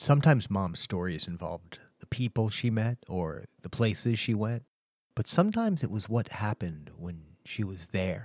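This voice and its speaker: A man with an American accent talks at a moderate pace with lively intonation. The recording is dry and close, with no echo. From Oklahoma. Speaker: podcast host. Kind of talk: casual chat.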